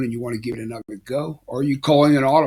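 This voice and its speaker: In an American accent, a man talks in a somewhat breathy, flat monotone. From Philadelphia, Pennsylvania. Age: 70s. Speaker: life coach, retired basketball coach. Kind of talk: motivational talk to camera. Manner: casual, hesitant with fillers.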